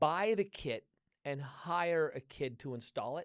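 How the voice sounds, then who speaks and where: In a very clean recording with a silent background, a man speaks at a fairly slow pace. His fairly high voice has lively intonation and a dry, close sound with no echo. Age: 60s. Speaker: podcast host and author. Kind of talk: casual interview chat.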